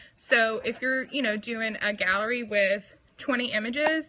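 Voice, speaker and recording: With a Southern US accent, a woman speaks at a moderate pace and a fairly high pitch. Her pitch varies in an ordinary way, and noticeable background noise is present. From US South, Mobile, Alabama. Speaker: photographer. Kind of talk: tutorial. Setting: live stream on couch. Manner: casual, chatty.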